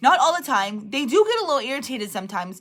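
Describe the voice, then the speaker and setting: This very clean recording, with a silent background, carries a woman's bright, sharp tone. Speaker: direct sales team leader. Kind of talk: livestream motivational talk. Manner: loud.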